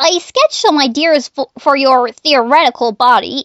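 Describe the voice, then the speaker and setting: A female-sounding voice speaks high at a moderate pace. It is a put-on character voice. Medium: dub. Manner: stammering, nervous, hesitant.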